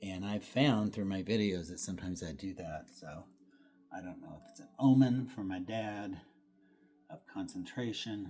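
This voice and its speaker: Soft-spoken and relaxed, a man with a fairly low pitch and a dark, mellow tone speaks with big swings in loudness. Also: ordinary pitch variation, moderate pace. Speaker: painter. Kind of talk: studio painting vlog. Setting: art studio. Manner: relaxed, halting.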